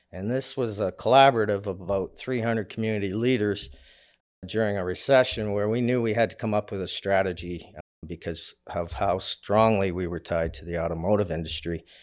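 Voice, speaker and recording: A plain, everyday voice from a man with a Canadian accent, fairly low pitch, ordinary pitch variation and a fairly quick pace, on a very clean recording with a silent background. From Canada, Windsor, Ontario. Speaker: commercial mortgage broker. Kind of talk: casual interview.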